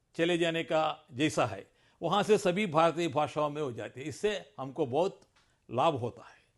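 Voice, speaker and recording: A man with a high pitch and ordinary pitch variation, set against a quiet background. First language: Telugu (speaking Hindi). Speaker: Hindi language advocate. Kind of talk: press conference statement.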